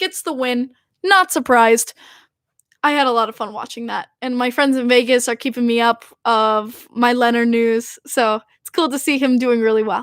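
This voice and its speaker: With a Long Island accent, a woman talks at a moderate pace in a high pitch with ordinary variation and big swings in loudness. The recording is very clean, with a silent background and a dry, close sound with no echo. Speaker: hockey podcast host. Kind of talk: casual chat. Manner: animated.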